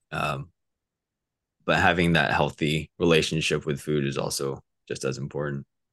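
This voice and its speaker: A man with a very deep, low pitch and vocal fry speaks in an American accent, with monotone, flat intonation and long, frequent pauses. The sound is dry and close, with no echo. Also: moderate pace. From Southern California, Orange County. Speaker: coaching client, stage manager. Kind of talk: interview, casual chat. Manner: hesitant, many fillers.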